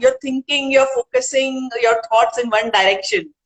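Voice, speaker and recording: Speaking with an Indian accent, a woman talks at a moderate pace in a high voice. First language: Hindi. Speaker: author and poet. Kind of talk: interview.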